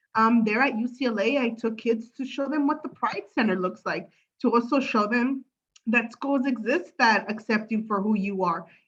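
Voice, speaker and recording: A woman in a Spanish accent, fairly high pitch, ordinary pitch variation, moderate pace. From Los Angeles, San Fernando Valley. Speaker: political candidate. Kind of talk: candidate forum speech. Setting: video call. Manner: halting.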